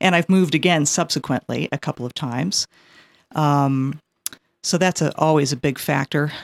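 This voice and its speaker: Recorded very cleanly with a silent background and a dry, close sound free of echo, a woman speaks at a moderate pace in a very deep, low pitch with fairly even intonation. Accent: American. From California, teen years in New England. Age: 50s. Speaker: poet. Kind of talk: interview.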